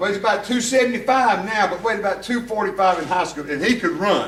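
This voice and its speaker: Amid noticeable background noise and audible room echo, a man with a Southern US accent speaks in a raised, projected voice with lively intonation. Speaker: former high school football coach. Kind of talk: after-dinner speech.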